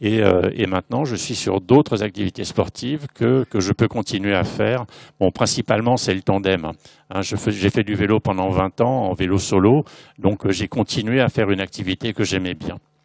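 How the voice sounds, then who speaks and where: The sound is dry and close with no echo as a man speaks at a moderate pace, his fairly low pitch showing ordinary variation. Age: 60s. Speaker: visually impaired amateur athlete. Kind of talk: conference panel talk. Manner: hesitant, many fillers.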